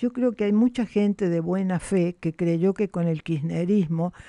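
The pace is fairly slow. Behind the voice, the background stays quiet. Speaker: journalist and former politician. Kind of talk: interview. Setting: studio.

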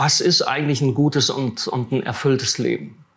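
A man talks with fairly even intonation at a medium pitch and a moderate pace, with noticeable background noise behind him. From Siegerland, western Germany. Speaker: theologian. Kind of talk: interview.

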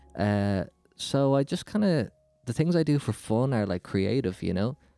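With music in the background, a man talks at a moderate speed. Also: dry, close sound with no echo. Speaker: rapper and podcaster. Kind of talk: casual interview chat.

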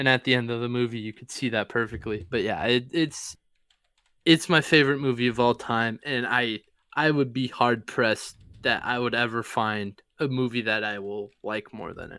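At a medium pitch and moderate pace, a man talks in an ordinary speaking voice with ordinary pitch variation. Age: 20s. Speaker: sports podcast co-host. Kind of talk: casual chat.

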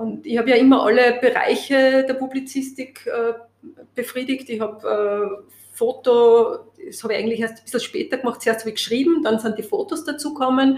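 The pace is moderate, with ordinary pitch variation. Loudness swings widely throughout. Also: woman, high pitch for a woman. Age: 50s. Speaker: press photographer. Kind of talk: interview conversation.

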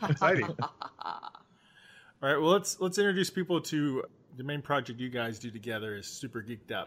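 A man's ordinary speaking voice, fairly high in pitch, with lively intonation at a moderate pace. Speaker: podcast co-host. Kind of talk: casual chat.

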